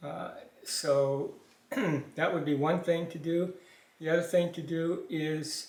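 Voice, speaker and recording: Speaking fairly slowly in a monotone, flat way, a man with a fairly high voice is heard with audible room echo. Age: 70s. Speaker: father of the channel owner. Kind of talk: casual interview. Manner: hesitant.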